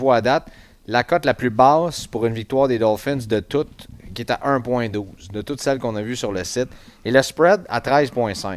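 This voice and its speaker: The delivery keeps a moderate pace and ordinary pitch variation. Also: man. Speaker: sports podcast host. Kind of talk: casual chat. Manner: muffled by face mask.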